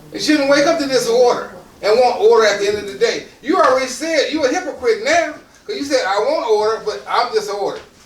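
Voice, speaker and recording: A man speaks at an extremely high pitch and a very fast pace, with very wide pitch swings. Room echo is audible, and background noise is noticeable. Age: 60s. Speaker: motivational speaker. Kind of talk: motivational talk to audience. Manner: repeats words, some halting starts.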